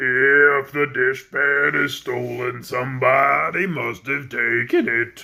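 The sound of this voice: Putting on a character voice, a man speaks croaky and raspy at medium pitch, very slowly and with hardly any pauses.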